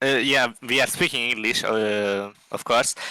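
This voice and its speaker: On a very clean recording with a silent background, a speaker with a non-native accent talks in a bright, sharp tone. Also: man. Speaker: esports player. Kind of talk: interview. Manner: halting, many fillers.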